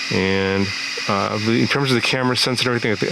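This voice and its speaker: A very fast-talking man at medium pitch with ordinary pitch variation, amid noticeable background noise and audible room echo. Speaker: FPV drone hardware reviewer. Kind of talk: product review. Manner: hesitant, many fillers.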